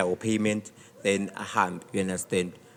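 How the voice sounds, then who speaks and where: A man's voice over noticeable background noise. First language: Zulu or Xhosa. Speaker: DJ. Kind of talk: casual interview. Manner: code-switching, halting.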